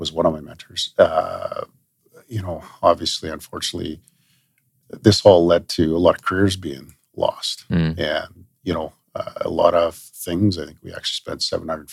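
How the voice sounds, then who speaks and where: Loudness swings widely as a man talks in a western Canadian accent. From Manitoba and Alberta, Canada. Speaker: police chief. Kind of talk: interview.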